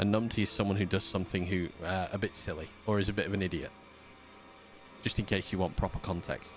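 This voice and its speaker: With music in the background, a man with a Yorkshire accent talks at a very fast pace in a very deep, low pitch, his intonation fairly even and his loudness very even. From Yorkshire, northern England. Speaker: gaming streamer. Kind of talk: live gameplay commentary. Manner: sleepy at times.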